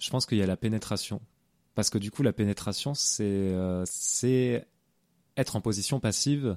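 At a moderate pace, a man with a fairly low pitch and ordinary pitch variation speaks with long, frequent pauses in a dry, close sound with no echo. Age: 20s. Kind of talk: interview. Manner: halting, many repetitions and fillers.

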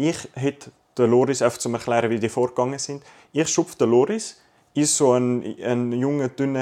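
A man's dark, mellow voice at medium pitch, with ordinary pitch variation and a moderate pace. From Zurich, Switzerland. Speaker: podcast co-host. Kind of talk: casual chat.

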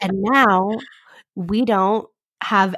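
With fairly even intonation, a woman uses an unremarkable speaking voice at medium pitch. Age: 20s. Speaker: podcast host, college student. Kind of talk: casual chat; podcast outro.

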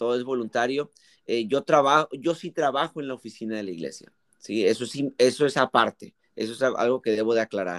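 With an ordinary speaking voice, a man at medium pitch speaks at a fairly quick pace with ordinary pitch variation, in a dry, close sound with no echo on a very clean recording with a silent background. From Mexico. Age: 20s. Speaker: youth pastor. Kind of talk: casual interview.

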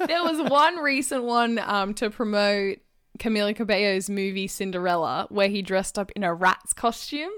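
A woman speaks with an Australian accent and a medium pitch. Her intonation is lively and her pace is moderate. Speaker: podcast co-host. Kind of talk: casual chat.

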